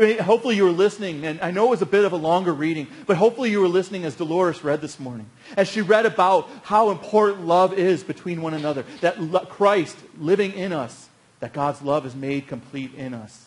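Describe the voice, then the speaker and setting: Talking at a very fast pace, a man uses lively intonation with big swings in loudness. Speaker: pastor. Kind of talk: sermon. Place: church.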